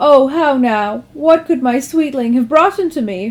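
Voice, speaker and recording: A high-pitched woman's voice in a put-on character voice. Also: moderate pace. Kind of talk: mock-Shakespearean melodrama. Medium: read story. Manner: archaic, flowery.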